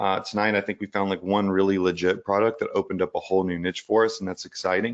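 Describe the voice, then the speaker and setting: Recorded dry and close with no echo, a man speaks in a fairly low, flat monotone. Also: quiet background. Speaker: e-commerce coach, live show host. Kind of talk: live stream teaching. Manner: loud; casual, filler-heavy.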